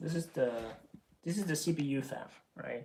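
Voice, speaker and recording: A man speaks at a moderate pace with a fairly high pitch. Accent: non-native. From Norway. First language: not English. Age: 20s. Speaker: streamer. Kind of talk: casual chat. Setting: live stream. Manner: halting.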